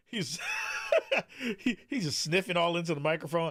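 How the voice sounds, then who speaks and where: Noticeable background noise sits behind a man who talks fairly quickly with lively intonation. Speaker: podcast host. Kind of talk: casual chat.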